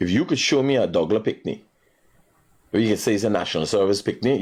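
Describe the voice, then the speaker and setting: With a Guyanese accent, this man speaks at a fairly low pitch and with lively intonation. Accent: Guyanese Creole English. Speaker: radio call-in show host. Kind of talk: call-in talk show. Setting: studio.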